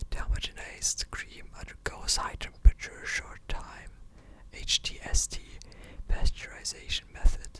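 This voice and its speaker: Someone whispers at a moderate speed while noticeable noise sounds in the background. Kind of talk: ASMR reading of an encyclopedia article. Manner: whispering.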